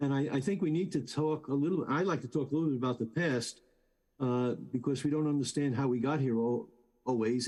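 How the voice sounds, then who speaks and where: A man with a South Bronx accent has a dark, mellow tone. He speaks at a very fast pace. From New York City, South Bronx. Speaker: professor. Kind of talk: testimony. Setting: video call.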